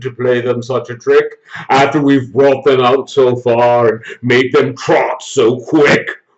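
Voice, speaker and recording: At a fairly slow pace, a man puts on a character voice at medium pitch. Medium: read story. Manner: wheedling, falsely polite.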